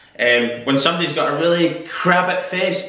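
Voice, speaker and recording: A man speaks in a Scottish accent at a moderate pace. His intonation stays fairly even, and the room gives an audible echo. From Scotland. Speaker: YouTuber. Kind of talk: casual talk to camera. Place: home room. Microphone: camera far.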